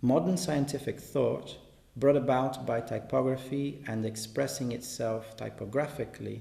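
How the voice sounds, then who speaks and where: A man's dark, mellow tone with vocal fry and ordinary pitch variation, amid audible room echo. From Brazil. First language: Portuguese. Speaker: artist and translator. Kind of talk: reading aloud. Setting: exhibition in a gallery.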